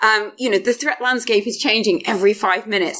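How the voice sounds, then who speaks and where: A woman rattles along at a very fast speed, with noticeable background noise present. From Yorkshire, northern England. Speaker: cloud security advocate. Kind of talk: conference talk. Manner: casual, filler-heavy.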